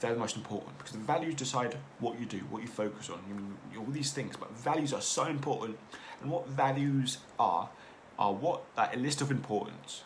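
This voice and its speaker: There is audible room echo as a man talks at a fairly quick pace. His pitch is medium. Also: ordinary pitch variation. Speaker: podcast host. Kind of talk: casual monologue. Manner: fast; halting.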